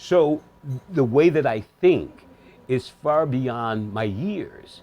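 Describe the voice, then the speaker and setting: At a very slow pace, a man with an American accent speaks in a fairly high pitch with lively intonation. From Michigan, Detroit area. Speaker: bar promoter. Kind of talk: interview. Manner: articulate, proper diction.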